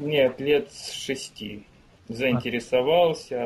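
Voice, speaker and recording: There is ordinary pitch variation in this man's somewhat breathy voice, which sits fairly high. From Ukraine. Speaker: musician. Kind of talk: interview. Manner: terse.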